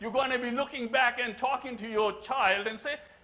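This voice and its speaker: A man's raised, projected voice in an animated tone, with audible room echo. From Pakistan. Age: 70s. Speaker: keynote speaker, engineer. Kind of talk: keynote speech. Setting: conference stage with audience. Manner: animated, humorous.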